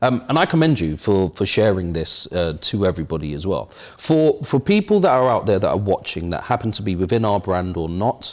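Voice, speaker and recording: A man with an English accent, fairly low-pitched, lively in intonation, fairly quick with hardly any pauses, on a very clean recording with a silent background. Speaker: show host. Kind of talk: interview. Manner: unscripted, conversational.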